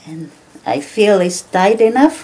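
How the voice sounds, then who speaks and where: Over noticeable background noise, a woman with a Tongan accent speaks with very wide pitch swings. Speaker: craft shop owner. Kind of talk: instructional demonstration.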